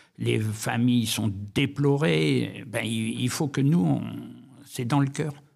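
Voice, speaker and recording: Vocal fry runs through this voice, which moves with lively intonation. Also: man. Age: 80s+. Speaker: war veteran. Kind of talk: interview testimony. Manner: halting.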